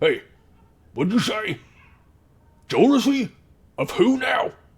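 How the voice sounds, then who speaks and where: A man puts on a raspy character voice at an extremely high pitch. He speaks at a fairly slow pace. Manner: gruff, suspicious.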